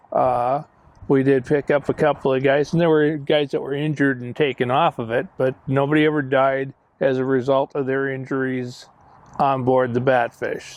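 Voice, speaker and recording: A man with an American accent talks at a moderate pace in a medium pitch. His intonation is monotone and flat. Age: 60s. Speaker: museum director and war veteran. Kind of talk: interview storytelling. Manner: halting.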